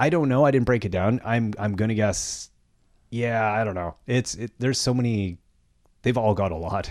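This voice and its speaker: On a very clean recording with a silent background, a man speaks in an unremarkable speaking voice with ordinary pitch variation. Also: medium pitch for a man, moderate pace. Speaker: podcast host. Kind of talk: casual banter podcast. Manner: joking, playful.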